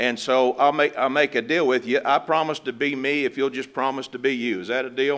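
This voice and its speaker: With fairly even intonation and hardly any pauses, a man speaks at a medium pitch. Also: fairly quick pace. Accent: Appalachian. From West Virginia. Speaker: pastor. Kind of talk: funeral sermon. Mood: warm, gently consoling. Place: church. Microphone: podium.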